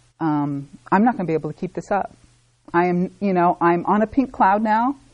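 A woman in an American accent talks at a fairly quick pace and fairly low pitch, with ordinary pitch variation. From Sacramento, California. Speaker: recovery group member sharing story. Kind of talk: testimony. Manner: casual, hesitant with fillers.

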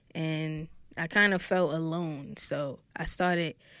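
A woman with a Brooklyn accent, fairly low pitch and monotone, flat intonation. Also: very clean recording, silent background. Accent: New York, Brooklyn. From Brooklyn, New York. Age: 20s. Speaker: rapper. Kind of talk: casual chat.

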